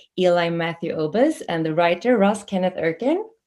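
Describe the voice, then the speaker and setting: At a moderate pace, a woman talks at a medium pitch with ordinary pitch variation. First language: not English. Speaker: festival interview host. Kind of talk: interview hosting.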